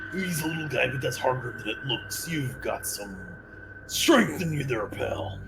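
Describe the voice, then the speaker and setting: Someone performs a put-on character voice at a moderate pace against clear background noise. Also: man. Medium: actual play. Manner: jovial, wordy, swaggering.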